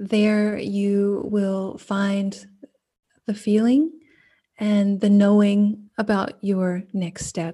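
Speaking at a very slow pace, a woman has a medium pitch and a dark, mellow tone. Her voice is somewhat breathy, with fairly even intonation. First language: German. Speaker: coach. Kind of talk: casual podcast chat.

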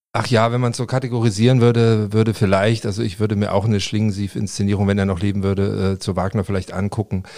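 A man with a fairly low pitch and a dark, mellow tone speaks very fast in a monotone, flat intonation with hardly any pauses, captured in a very clean recording with a silent background. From Leipzig, eastern Germany. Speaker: politician, former political scientist. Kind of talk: interview. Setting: podcast studio. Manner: hesitant, many fillers and repetitions.

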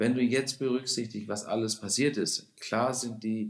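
The speaker is a man with a medium pitch. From Baden, southern Germany (Lake Constance), then Hamburg from 19. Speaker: restaurant owner. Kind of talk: podcast interview. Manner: animated.

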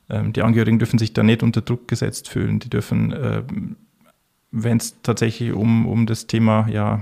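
A man at a moderate pace. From Bavaria, Bavarian Forest. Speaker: intensive care physician. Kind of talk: interview.

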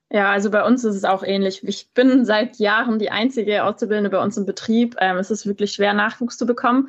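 With a normal speaking voice, a woman talks at a fairly quick pace and fairly high pitch, using fairly even intonation and hardly any pauses. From Bavaria, Munich. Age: 20s. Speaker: tinsmith and trade influencer. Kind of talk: casual interview.

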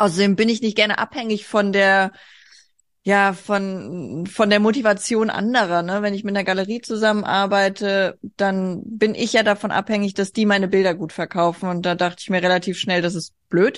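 A woman with a medium-pitched voice talks in a fairly even intonation against a quiet background. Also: moderate pace. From Hesse, Germany (rural). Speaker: artist. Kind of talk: casual interview. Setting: video call.

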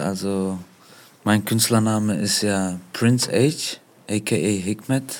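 The speaker is a man with a fairly low pitch. He talks at a very slow pace with fairly even intonation. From Germany. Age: 30s. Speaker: rapper and singer. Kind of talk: interview.

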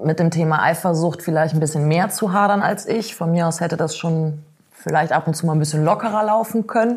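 A woman's plain, everyday voice, fairly low-pitched and fairly quick, with fairly even intonation. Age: 30s. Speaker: blogger and freelance author. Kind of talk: casual interview.

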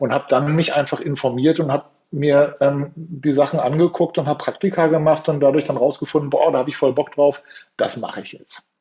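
Somewhat breathy and fairly high-pitched, a man speaks fairly quickly with monotone, flat intonation. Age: 50s. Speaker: youth coach. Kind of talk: interview.

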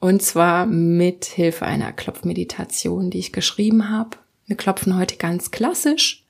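A woman at medium pitch speaks at a fairly slow pace in an unremarkable speaking voice with ordinary pitch variation. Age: 20s. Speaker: podcast host, tapping meditation guide. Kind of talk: guided meditation. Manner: calm.

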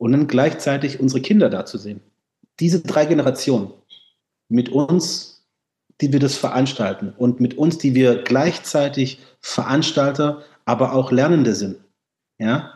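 At a fairly slow pace, a man with a dark, mellow tone and a fairly high pitch speaks with ordinary pitch variation and long, frequent pauses. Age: 40s. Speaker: festival organizer and musician. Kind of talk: casual chat.

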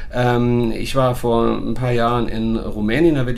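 A man speaks in a space with audible room echo, and noticeable background noise is present too. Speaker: dog trainer and podcast host. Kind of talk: casual chat. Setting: recorded on location in Portugal.

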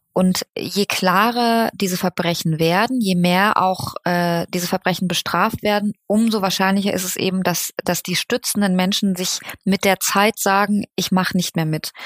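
Speaking with a normal speaking voice at a moderate pace, the speaker leaves hardly any pauses and keeps a fairly even intonation. The recording is very clean, with a silent background. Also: woman, medium pitch for a woman. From Germany. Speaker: journalist. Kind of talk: interview.

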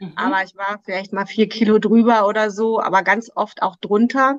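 A woman with a plain, everyday voice speaks at a moderate pace and a fairly high pitch. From Germany, Krefeld (Lower Rhine). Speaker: weight loss coach. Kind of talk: interview.

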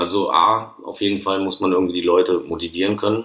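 With fairly even intonation, a man speaks at a moderate pace in a fairly low pitch. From Rhineland-Palatinate, Neuwied. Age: 30s. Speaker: chef. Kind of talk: casual interview. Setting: at his workplace.

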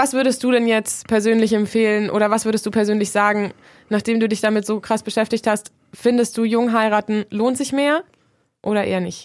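A woman's normal speaking voice, fairly high in pitch, at a fairly quick pace, with fairly even intonation, on a very clean recording with a silent background. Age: 20s. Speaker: student radio host. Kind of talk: moderated discussion.

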